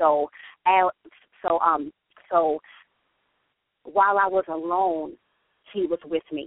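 Speaking at a very slow pace, a woman takes long, frequent pauses. Her fairly low voice stays monotone and flat. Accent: American. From New York, the Bronx. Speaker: author and church singles director. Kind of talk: radio interview by phone.

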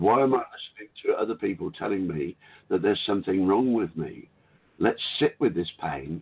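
Speaking with an Australian accent, a man uses a fairly low pitch and lively intonation at a fairly quick pace. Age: 60s.

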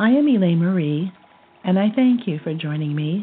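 Music plays in the background while a woman with a medium pitch speaks in a calm, soothing tone with lively intonation. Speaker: guided meditation host and color therapist. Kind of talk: guided meditation. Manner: slow, calm, soothing, gently paced with pauses; soft-spoken, serene, instructive.

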